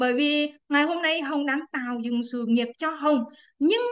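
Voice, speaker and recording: A woman's high-pitched voice at a moderate pace, with ordinary pitch variation and a quiet background. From Quảng Trị, central Vietnam; Vietnam. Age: 30s. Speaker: businesswoman. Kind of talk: testimony. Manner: halting. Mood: cheerful, smiling. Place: home room. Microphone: video call.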